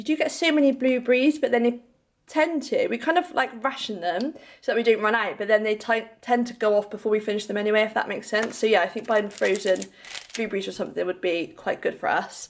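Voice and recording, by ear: With vocal fry, a woman talks at a medium pitch and ordinary pitch variation. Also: fairly quick pace.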